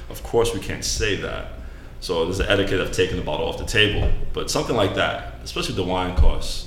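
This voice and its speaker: Against noticeable background noise and audible room echo, a man speaks in an American accent. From New York. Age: 30s. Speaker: restaurant server. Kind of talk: casual chat.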